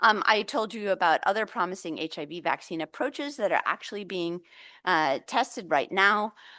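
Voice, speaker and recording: A woman with an American accent speaks at medium pitch and a moderate pace, with lively intonation. Her tone is bright and sharp over a quiet background. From United States. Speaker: vaccine researcher, lab head. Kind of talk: lecture. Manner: hesitant, many fillers.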